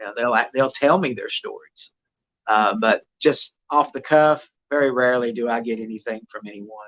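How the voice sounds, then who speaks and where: Using an East Tennessee accent, a man speaks at a medium pitch and moderate pace with ordinary pitch variation and big swings in loudness, in a dry, close sound with no echo. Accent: Southern American (East Tennessee). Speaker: Bigfoot investigator. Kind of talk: podcast interview answer.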